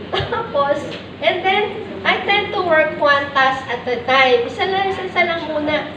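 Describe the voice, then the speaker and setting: A loud woman speaks at a fairly slow pace with an extremely high pitch and lively intonation. The recording has noticeable background noise and audible room echo. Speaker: teacher trainer / lecturer. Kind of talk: lecture. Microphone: weak microphone, too quiet.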